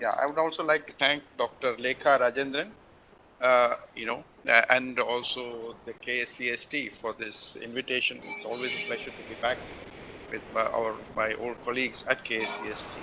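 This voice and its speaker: Against noticeable background noise, a man with a medium pitch speaks at a moderate pace, his intonation fairly even and his loudness swinging widely. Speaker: scientist, invited speaker. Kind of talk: lecture. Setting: video call. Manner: halting.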